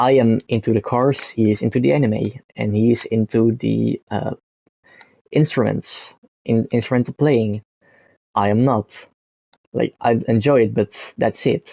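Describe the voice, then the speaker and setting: A man with a Dutch accent speaks at a fairly slow pace in a dark, mellow tone, the sound dry and close with no echo. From Netherlands. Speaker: gaming streamer. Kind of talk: casual live stream monologue. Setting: live stream with background gameplay. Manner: halting, many fillers and restarts.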